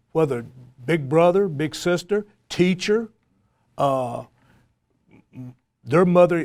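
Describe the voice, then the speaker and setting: A man with a Tennessee accent at a moderate pace, ordinary pitch variation, on a very clean recording with a silent background. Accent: Southern US (Tennessee). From US South, East Tennessee. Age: 60s. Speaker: college football coach. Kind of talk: panel discussion.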